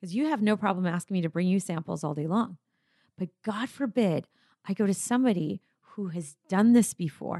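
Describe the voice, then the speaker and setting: A woman at a medium pitch, with ordinary pitch variation and a fairly quick pace. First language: not English. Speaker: natural deodorant company founder. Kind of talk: interview conversation.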